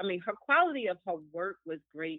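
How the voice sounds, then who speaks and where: At a moderate pace, a woman talks in an unremarkable speaking voice that is fairly low in pitch. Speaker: guest. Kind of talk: casual chat.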